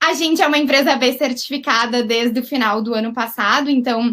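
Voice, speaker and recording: Speaking with a southern Brazilian accent, a woman uses a high pitch and fairly even intonation. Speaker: company CEO. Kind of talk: webinar presentation.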